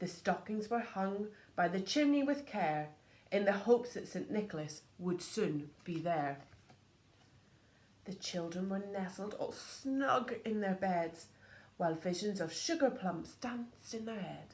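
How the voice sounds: Speaking at a fairly slow pace, a woman has lively intonation and a slightly mellow tone, with audible room echo. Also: medium pitch for a woman.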